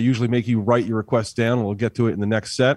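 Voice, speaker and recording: A man's fairly even intonation in a New Jersey accent. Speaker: band musician. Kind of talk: casual interview. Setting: video call.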